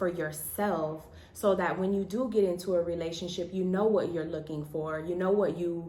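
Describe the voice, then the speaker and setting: Noticeable background noise and audible room echo surround a woman with a fairly low pitch. Her intonation is fairly even and her pace moderate. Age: 30s. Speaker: married couple vlogger. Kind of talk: casual chat.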